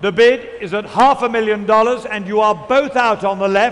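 A man's high-pitched, theatrical voice with a British accent, moderate pace and fairly even intonation, over noticeable background noise. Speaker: auctioneer. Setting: stage with audience. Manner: brisk, insistent patter, repeating figures and pressing bidders; theatrical and showmanlike, coaxing bidders with teasing asides.

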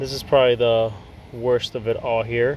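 A man speaks at a fairly slow pace, his voice dry with no echo over light background noise. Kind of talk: casual vlog chat. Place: garden. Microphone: phone near.

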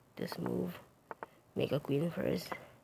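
The speech moves at a very slow pace. Noticeable background noise can be heard. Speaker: chess streamer. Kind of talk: puzzle commentary.

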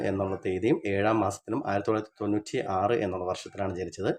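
A man speaks in a plain, everyday voice. His pitch sits fairly low. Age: 30s. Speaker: coin and banknote collector, video creator. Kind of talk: tutorial.

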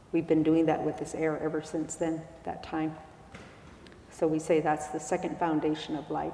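In a monotone, flat delivery, a woman with a very deep, low pitch speaks at a moderate pace, with audible room echo and light background noise. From Arizona, Hopi-Tewa and Havasupai; Arizona. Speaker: spiritual elder; speaker. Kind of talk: public talk. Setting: stage with audience. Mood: calm, reflective, slow. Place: church. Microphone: lapel.

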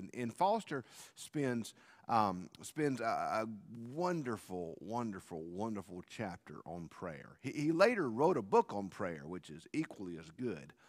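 A man speaks fairly slowly, with quiet all around his voice. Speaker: pastor. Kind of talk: sermon. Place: church.

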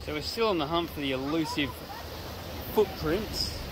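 Loud background noise surrounds a voice that moves at a fairly quick pace with a dry sound and no echo. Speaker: family travel vlogger. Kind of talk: casual vlog chat. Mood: relaxed, upbeat. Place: waterside. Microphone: phone near.

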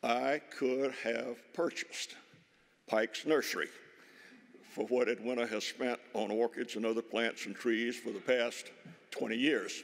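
Against a quiet background, a man speaks at a fairly slow pace with fairly even intonation and long, frequent pauses. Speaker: speaker. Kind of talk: speech. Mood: warm, anecdotal tribute. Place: hall. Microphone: podium.

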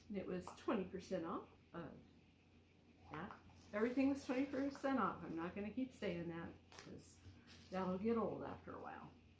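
A woman talks at a fairly quick pace, somewhat breathy and with big swings in loudness, amid audible room echo and light background noise. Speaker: thrift reseller vlogger. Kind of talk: casual vlog chat. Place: home room. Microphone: phone near.

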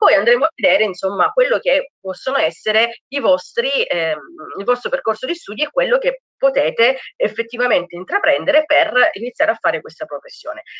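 Against a quiet background, a woman speaks at a fairly quick pace in a dry sound with no echo. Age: 30s. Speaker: criminologist. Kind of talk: lecture. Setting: video call. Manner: halting. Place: home room. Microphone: webcam.

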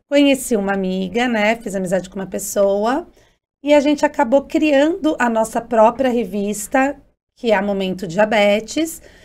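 Speaking fairly slowly in a plain, everyday voice, a woman with a fairly high pitch uses lively intonation on a very clean recording with a silent background. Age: 40s. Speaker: journalist and diabetes advocate. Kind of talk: interview.

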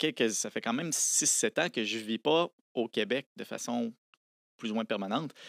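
The background is quiet and the sound is dry, with no echo. A man talks at a moderate pace. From Quebec City area, Quebec; Quebec. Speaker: science popularizer, lawyer and engineer; lawyer. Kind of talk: casual interview. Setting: studio. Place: studio. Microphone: studio mic.

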